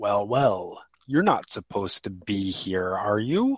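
In a put-on character voice, the speaker takes a menacing tone at a fairly slow pace. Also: man, fairly low pitch for a man. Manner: ominous, menacing.

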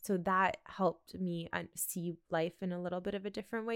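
On a very clean recording with a silent background, a woman with a Canadian accent has a plain, everyday voice, fairly low in pitch with fairly even intonation. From Canada, with time in Russia. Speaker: travel and lifestyle content creator. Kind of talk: casual interview chat.

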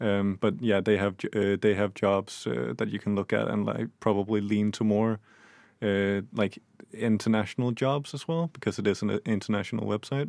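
A man speaks at a moderate pace. His pitch is fairly low, with ordinary pitch variation. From Denmark. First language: Danish. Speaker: new radio presenter. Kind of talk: casual radio chat.

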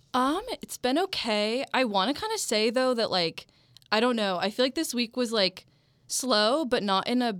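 A woman with an ordinary speaking voice talks at a moderate pace. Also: very clean recording, silent background. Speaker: college radio music director. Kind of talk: casual chat. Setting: studio.

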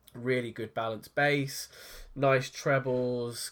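A man talks with a British accent. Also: very clean recording, silent background. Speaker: tech podcast co-host. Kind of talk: casual chat.

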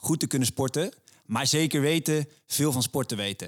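A man's fairly high-pitched voice at a fairly slow pace, with ordinary pitch variation, dry and close with no echo, on a very clean recording with a silent background. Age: 20s. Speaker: podcast co-host, sports. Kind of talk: scripted intro; casual chat.

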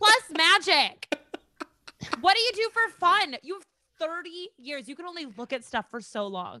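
In an Upper Midwest accent, a woman with an extremely high pitch and a raised, projected voice talks at a fairly slow pace, with very wide pitch swings and big swings in loudness. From Minnesota, near Rochester. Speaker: comedian. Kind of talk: casual chat.

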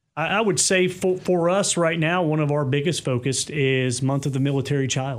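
This man has a normal speaking voice, fairly high in pitch for a man, with an American accent, a moderate pace, ordinary pitch variation, very even loudness and hardly any pauses. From US South, Kentucky. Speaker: army sergeant major. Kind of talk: interview.

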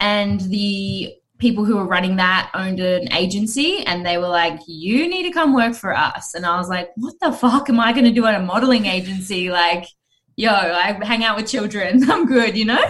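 A woman talks at a moderate pace and medium pitch with lively intonation. It is an ordinary speaking voice. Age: 30s. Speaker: talent agency founder. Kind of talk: casual chat.

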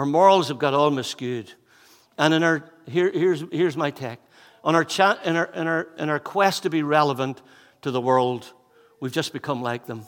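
In a Northern Irish accent, a man with a fairly high pitch talks at a moderate pace with ordinary pitch variation. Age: 50s. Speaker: pastor. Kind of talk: sermon. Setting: church.

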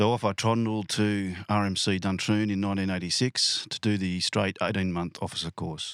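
Recorded very cleanly against a silent background, a man with an Australian accent talks at a moderate pace in a very deep, low pitch with fairly even intonation and a dry, close sound with no echo. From Western Sydney, Australia. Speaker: police sergeant. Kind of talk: casual interview. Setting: inside a caravan.

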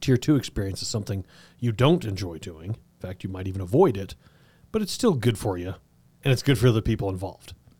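A man's very fast, somewhat breathy delivery with an American accent, fairly low in pitch, dark and mellow in tone, with ordinary pitch variation and big swings in loudness. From southern Colorado. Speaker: podcast host. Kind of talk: interview.

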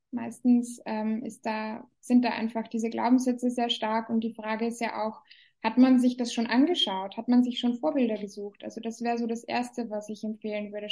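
A woman's fairly high, somewhat breathy voice in a monotone, flat intonation. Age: 30s. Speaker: business coach. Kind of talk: interview.

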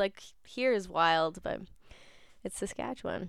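At a fairly slow pace, a woman with a Canadian accent uses an ordinary speaking voice with ordinary pitch variation, recorded very cleanly over a silent background. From southern Ontario, Canada. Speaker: community radio host. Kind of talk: casual radio chat. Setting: radio studio, live stream.

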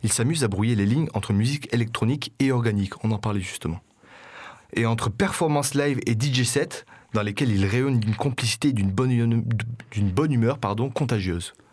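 A man talks at a fairly quick pace in a normal speaking voice, medium in pitch with ordinary pitch variation. His loudness stays very even. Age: 20s. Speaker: community radio host. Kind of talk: radio show with music presentation. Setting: radio studio.

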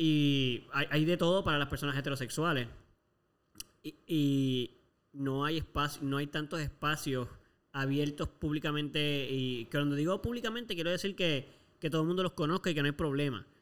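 A man with a fairly high pitch uses a normal speaking voice at a moderate pace, with ordinary pitch variation. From Puerto Rico. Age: 20s. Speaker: podcast co-host. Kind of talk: casual chat.

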